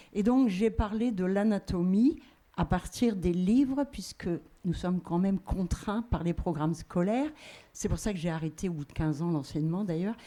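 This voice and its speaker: Speaking at a moderate pace, a woman has a medium pitch, lively intonation and a dark, mellow tone. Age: 70s. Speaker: audience member, retired teacher. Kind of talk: audience question at panel.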